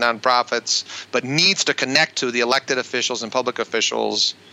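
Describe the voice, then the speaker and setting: This is an unremarkable speaking voice from a man. He talks at a moderate pace with a medium pitch. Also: dry, close sound with no echo. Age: 50s. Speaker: pastor. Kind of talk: interview conversation.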